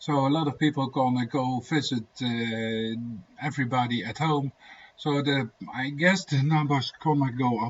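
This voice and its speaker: At a moderate pace, a man speaks with a Dutch accent, a medium pitch and fairly even intonation. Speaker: homesteading vlogger. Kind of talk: casual livestream chat. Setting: livestream. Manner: soft-spoken; halting. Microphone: laptop microphone, low volume.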